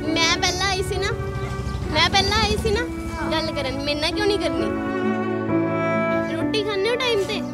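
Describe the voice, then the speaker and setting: A woman's voice, dry with no echo, over loud music in the background. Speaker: news reporter. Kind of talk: street interview reporting. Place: street. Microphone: handheld.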